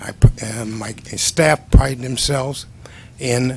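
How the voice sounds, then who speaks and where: Noticeable background noise runs behind a man. His pitch is medium and his intonation fairly even. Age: 70s. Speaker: construction cost estimator testifying as witness. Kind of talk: testimony at board hearing. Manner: halting, many fillers.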